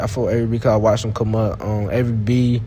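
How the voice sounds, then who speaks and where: A man with an American accent speaks at a medium pitch. Room echo and noticeable background noise are both audible. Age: 20s. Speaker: day trader. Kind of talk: casual chat. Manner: stuttering at times.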